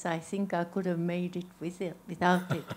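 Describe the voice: A woman's fairly low, slightly mellow voice at a moderate pace, with little pitch movement.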